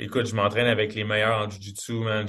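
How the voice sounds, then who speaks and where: A man talks at a medium pitch in a somewhat breathy voice. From Quebec. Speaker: MMA fighter. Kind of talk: interview.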